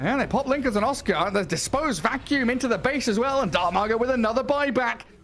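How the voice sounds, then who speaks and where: A man's animated tone at a fairly quick pace. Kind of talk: esports play-by-play commentary. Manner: fast, animated, excitable play-by-play delivery.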